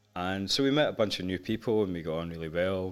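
With music playing behind him, a man speaks at a fairly quick pace. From North Lanarkshire, Scotland. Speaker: musician and record producer. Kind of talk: casual interview chat.

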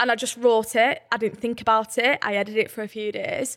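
Her pitch is fairly high, and she is a woman with a northern English accent. She speaks at a moderate pace. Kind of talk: casual chat.

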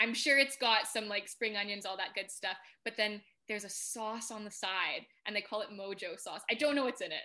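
A woman's fairly high, bright, sharp voice in a Canadian accent at a fairly quick pace with ordinary pitch variation. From Canada. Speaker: food and travel content creator. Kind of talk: casual chat.

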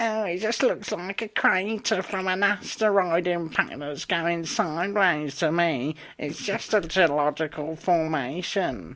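A put-on character voice at a middle pitch, fairly slow in pace, with hardly any pauses. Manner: mocking, condescending.

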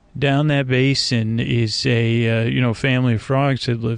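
Speaking fairly slowly, a man holds a medium pitch with monotone, flat intonation. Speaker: podcast host, bedtime storyteller. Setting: outdoors at night near a swamp. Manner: rambling, meandering.

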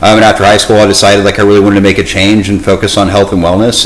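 Noticeable background noise sits behind a man speaking at a fairly low pitch with an American accent. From Texas, Dallas area. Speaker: fitness coach. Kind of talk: casual interview.

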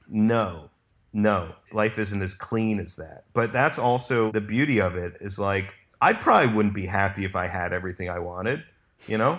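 A man with a fairly low pitch talks at a moderate pace, his pitch varying in an ordinary way. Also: very clean recording, silent background. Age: 30s. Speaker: documentary director. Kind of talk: casual chat. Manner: halting.

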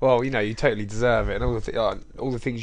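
A man with an English accent, medium in pitch. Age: 20s. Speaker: gym owner and podcast host. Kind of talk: casual interview.

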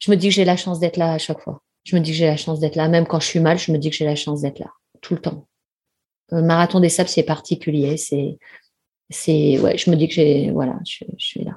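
A woman's fairly low, somewhat breathy voice with a dark, mellow tone, fairly even intonation and a fairly quick pace. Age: 50s. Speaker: ultramarathon runner and sports business executive. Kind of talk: interview. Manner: hesitant, many fillers.

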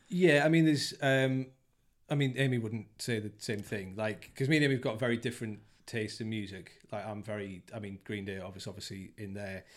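A fairly low-pitched man with an English accent, ordinary pitch variation, big swings in loudness and a fairly quick pace, on a very clean recording with a silent background. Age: 30s. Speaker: father interviewed about parenting. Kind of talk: casual chat. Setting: host's dining room.

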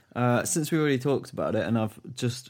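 Using ordinary pitch variation, a man with an English accent speaks at a fairly quick pace. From England. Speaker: podcast producer, musician. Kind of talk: casual chat.

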